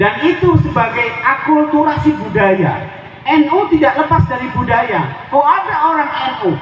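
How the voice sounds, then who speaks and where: Extremely high in pitch, a man's voice makes very wide pitch swings at a fairly slow pace. Audible room echo and noticeable background noise surround him. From Lampung, Javanese family. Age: 40s. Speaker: Islamic preacher. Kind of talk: sermon. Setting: community religious gathering with audience.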